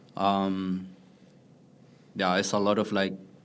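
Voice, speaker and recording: Audible room echo is present in the recording. The speaker is a man with a fairly low voice. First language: not English. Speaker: artist running a print studio. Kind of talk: interview. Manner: halting, many fillers.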